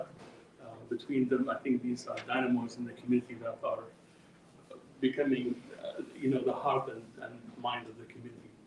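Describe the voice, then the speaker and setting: Background noise is noticeable here. Over it, a man talks at a moderate speed. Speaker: event moderator. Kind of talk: event introduction. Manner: halting.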